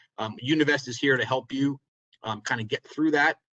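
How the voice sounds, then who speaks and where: A man with a bright, sharp tone and fairly even intonation, going at a very fast pace. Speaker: insurance advisor. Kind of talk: webinar presentation. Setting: webinar.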